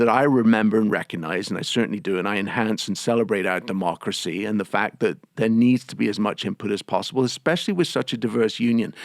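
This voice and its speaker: A man speaks at a very fast pace with a slight English accent. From England. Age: 50s. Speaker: union president. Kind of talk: interview. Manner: halting, many repetitions and fillers.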